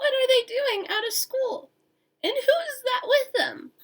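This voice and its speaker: A woman's squeaky, raspy put-on character voice, extremely high in pitch and at a fairly slow pace. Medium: read story. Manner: stern, menacing.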